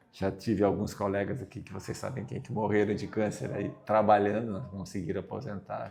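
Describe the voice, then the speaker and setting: A man's fairly low voice at a moderate pace. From southern Brazil, Caxias do Sul. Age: 60s. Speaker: retiring university professor. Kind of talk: interview. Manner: halting.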